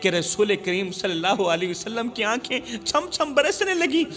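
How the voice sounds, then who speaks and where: With music playing behind him, a man uses a raised, projected voice at a high pitch, his pitch swinging very widely. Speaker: Islamic preacher. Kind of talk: emotional Urdu religious sermon. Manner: emotional, passionate, storytelling.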